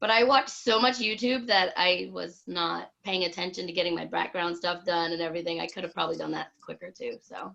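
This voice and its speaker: At a moderate pace, a woman with a fairly low pitch and vocal fry speaks in a bright, sharp tone, with ordinary pitch variation and big swings in loudness. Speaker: online English teacher, video chat host. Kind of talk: casual group video chat. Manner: loud, boisterous.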